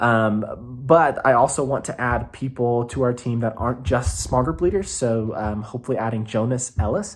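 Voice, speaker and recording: A man at a medium pitch, with ordinary pitch variation. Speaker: youth pastor. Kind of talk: casual update video to volunteers. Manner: fast; rambling with many fillers.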